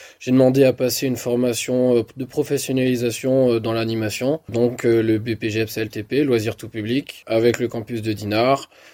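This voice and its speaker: A man speaks at a medium pitch with a dark, mellow tone. His intonation is monotone and flat, and his pace is fairly slow. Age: 20s. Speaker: youth leisure centre worker, apprentice. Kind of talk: remote interview. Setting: remote call.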